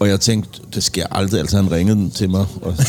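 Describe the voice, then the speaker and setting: A man's voice amid noticeable background noise. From Copenhagen, Denmark (Indre By, Christianshavn). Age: 40s. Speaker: music producer and musician. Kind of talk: casual chat. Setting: pub.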